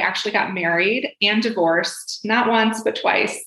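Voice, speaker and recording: A woman with a plain, everyday voice speaks at a moderate pace, fairly high in pitch, with ordinary pitch variation. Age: 40s. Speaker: divorce and career coach. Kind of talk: podcast interview.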